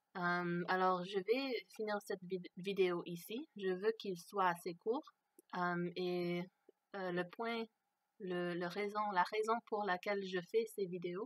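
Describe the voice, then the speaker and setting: A woman speaks at a very slow pace and a medium pitch. Her intonation stays fairly even, and the sound is dry and close with no echo. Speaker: video blogger. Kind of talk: personal testimony monologue. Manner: halting, many hesitations.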